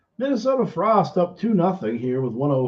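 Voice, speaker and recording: A man talks at a moderate pace, his voice somewhat breathy. His pitch swings very widely. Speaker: streamer watching a hockey game. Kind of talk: casual live commentary.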